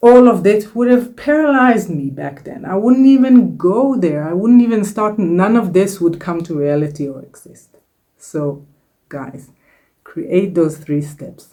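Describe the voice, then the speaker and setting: In a room with audible echo, a woman with a non-native accent speaks at a fairly slow pace at medium pitch, her dark, mellow tone marked by very wide pitch swings and big swings in loudness. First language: not English. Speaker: self-help YouTuber and author. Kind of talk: casual vlog talk to camera. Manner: warm, encouraging.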